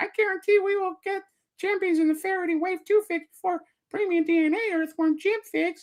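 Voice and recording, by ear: In a put-on character voice, the speaker talks at a fairly quick pace with an extremely high pitch.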